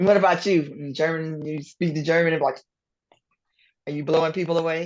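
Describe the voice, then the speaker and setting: With a Southern US accent, this woman talks at a moderate pace in a very deep, low pitch and a monotone, flat intonation. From US South. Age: 40s. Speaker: language teacher. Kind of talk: interview.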